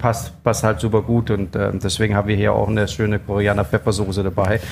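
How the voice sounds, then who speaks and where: In a slight Danish accent, a man speaks with a fairly low pitch. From Denmark. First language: Danish (speaking German). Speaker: chef. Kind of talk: interview. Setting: food festival.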